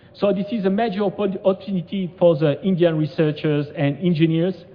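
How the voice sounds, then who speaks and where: In a French accent, a man with a high pitch talks at a fairly quick pace with ordinary pitch variation. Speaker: conference speaker, robotics researcher. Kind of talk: conference presentation. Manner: halting, many fillers.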